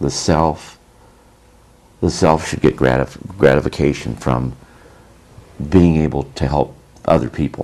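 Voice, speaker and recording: With a very deep, low voice, a man talks at a fairly slow pace, leaving long, frequent pauses over noticeable background noise. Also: fairly even intonation. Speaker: former army sergeant. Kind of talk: interview answer. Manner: soft-spoken.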